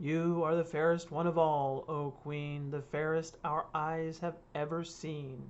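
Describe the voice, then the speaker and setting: A put-on character voice at a fairly slow pace, with monotone, flat intonation and hardly any pauses. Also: woman, very deep, low pitch for a woman. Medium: read story. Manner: cold and menacing.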